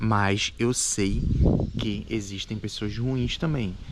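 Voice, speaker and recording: Amid noticeable background noise, a man speaks at a very slow pace and fairly low pitch with ordinary pitch variation. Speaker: immigrant vlogger. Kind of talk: casual chat.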